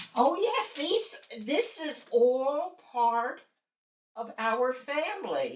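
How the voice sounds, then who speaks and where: A woman's high-pitched voice at a very slow pace, full of very wide pitch swings. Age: 80s+. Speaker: retired educator. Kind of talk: casual chat.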